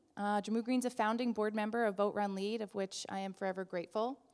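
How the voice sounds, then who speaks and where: A woman speaks with an American accent at a fairly high pitch. The background is quiet. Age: 30s. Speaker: event introducer, nonprofit director. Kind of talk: event introduction speech. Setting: live event audience. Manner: loud, projecting. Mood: warm, enthusiastic. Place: hall. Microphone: handheld.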